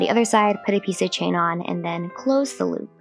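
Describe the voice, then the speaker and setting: Music sounds behind the voice. It carries an American accent. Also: woman. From US West Coast, Los Angeles. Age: 20s. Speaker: craft tutorial creator. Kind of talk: tutorial. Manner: casual.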